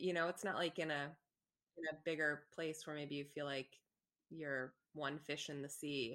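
A woman's very deep, low voice with a bright, sharp tone, monotone, flat intonation, a moderate pace and long, frequent pauses. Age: 30s. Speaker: entrepreneur and gallery owner. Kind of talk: casual interview.

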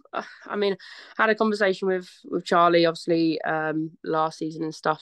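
A woman talks at a moderate pace in an ordinary speaking voice, pitched fairly low. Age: 20s. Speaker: footballer. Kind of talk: casual chat.

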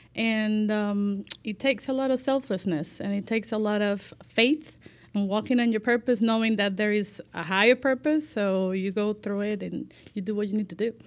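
At a moderate pace, a woman talks in a Spanish accent. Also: fairly high pitch for a woman, ordinary pitch variation. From Cuba, Santiago de Cuba. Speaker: life manager. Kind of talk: casual chat.

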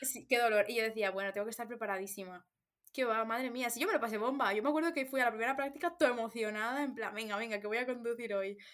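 At a very fast pace, a woman speaks in a fairly high voice with ordinary pitch variation. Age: 20s. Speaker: podcast co-host. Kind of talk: casual chat.

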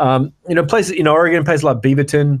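On a very clean recording with a silent background, a man talks at a fairly quick pace. His pitch varies in an ordinary way. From Western Australia, Perth. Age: 30s. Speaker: podcast co-host. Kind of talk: casual chat.

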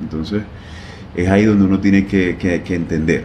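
Audible room echo surrounds a man talking in a fairly low voice. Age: 30s. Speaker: plastic surgeon. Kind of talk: casual interview. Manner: halting, many repetitions.

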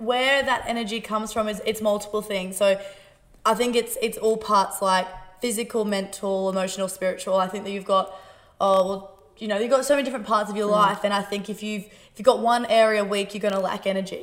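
The speech moves at a fairly quick pace, with big swings in loudness. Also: woman, medium pitch for a woman. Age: 20s. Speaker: podcast host and gym owner. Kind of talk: casual interview chat. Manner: fast; animated.

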